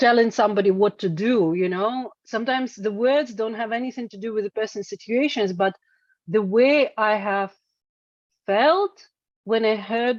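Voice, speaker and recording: With a Russian accent and a fairly high pitch, a woman speaks at a moderate pace in a dry, close sound with no echo. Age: 40s. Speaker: singer-songwriter. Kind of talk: interview. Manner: halting, many fillers and repetitions.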